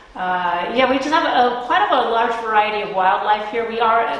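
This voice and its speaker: The pace is moderate and the pitch varies in an ordinary way. Audible room echo is present. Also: woman. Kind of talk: interview answer. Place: hall. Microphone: camera far.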